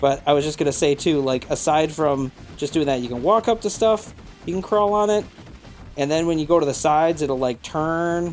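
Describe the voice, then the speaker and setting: The talking holds a moderate pace. Behind it, music is playing. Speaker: gaming youtuber. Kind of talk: gameplay commentary. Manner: animated.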